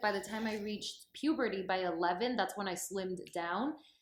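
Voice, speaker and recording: Using an ordinary speaking voice, a woman talks at a moderate pace and medium pitch with ordinary pitch variation. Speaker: TV host and actress. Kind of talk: interview.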